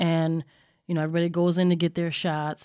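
A woman with a fairly low pitch talks at a fairly quick pace. The recording is very clean, with a silent background. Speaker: podcast guest, family member of host. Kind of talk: casual chat.

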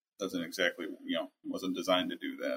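A man is speaking. He has an American accent. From Minnesota, US Midwest. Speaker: technical salesperson. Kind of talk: interview. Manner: hesitant, many fillers.

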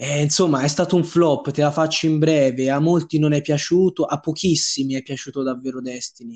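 Using a plain, everyday voice, a man with fairly high pitch talks at a fairly quick pace with hardly any pauses and fairly even intonation. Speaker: podcast co-host. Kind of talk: casual chat.

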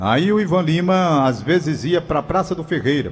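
A man speaks in a somewhat breathy voice. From Fortaleza, Ceará, Brazil. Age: 70s. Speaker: veteran radio announcer. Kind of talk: casual radio chat and reminiscing. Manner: occasional stammering from the delay.

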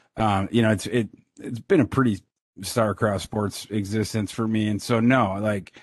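A man with an American accent and a plain, everyday voice speaks at a moderate pace and a fairly low pitch. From Minnesota. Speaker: sports analyst. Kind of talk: casual chat.

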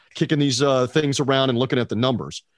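A man talks at a medium pitch. The background is quiet. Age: 50s. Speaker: sports radio broadcaster. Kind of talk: casual sports talk interview.

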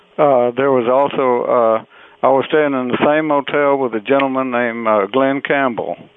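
A man speaks in an American accent at a medium pitch. Noticeable background noise sits behind him. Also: fairly even intonation, moderate pace. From southeast Texas (Beaumont). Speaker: western music singer and musician. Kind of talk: interview. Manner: halting, many fillers.

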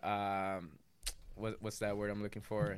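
The recording is very clean, its background silent. An American accent marks the speech. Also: man. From Los Angeles, West Side. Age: 30s. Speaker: guest. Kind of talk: casual chat. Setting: studio.

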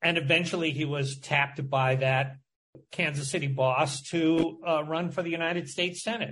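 With an American accent, a man talks at a moderate pace in an ordinary speaking voice, his pitch fairly high and his intonation fairly even. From Michigan. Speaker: journalist and author. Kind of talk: interview.

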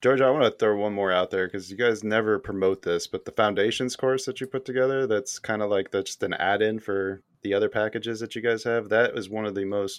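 At a fairly quick pace, a man talks in an unremarkable speaking voice. His pitch is fairly low and his intonation fairly even. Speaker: podcast host. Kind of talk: casual chat.

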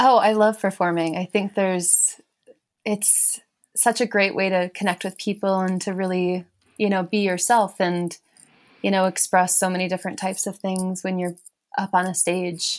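A woman with an American accent at a moderate pace, her intonation flat and monotone. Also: medium pitch for a woman. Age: young. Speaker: musician and writer. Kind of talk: casual chat. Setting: video call.

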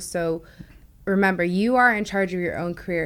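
Using a normal speaking voice, a woman talks at a moderate pace and a fairly low pitch with ordinary pitch variation. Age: 20s. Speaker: tech sales account executive. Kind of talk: interview.

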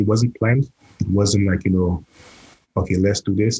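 A man's very deep, low voice, dark and mellow in tone, somewhat breathy, at a moderate pace in a dry, close sound with no echo. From Saint Lucia. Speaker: chef. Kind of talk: casual chat.

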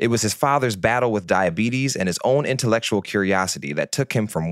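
A man with a fairly low pitch speaks in a normal speaking voice, the sound dry and close with no echo. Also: very clean recording, silent background. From Detroit, US. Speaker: podcast host. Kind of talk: interview conversation; scripted intro.

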